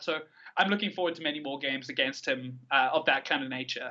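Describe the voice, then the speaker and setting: The voice carries a South African accent. Its tone is bright and sharp. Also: man. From South Africa, Cape Town. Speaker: card game player. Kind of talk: podcast interview. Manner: animated.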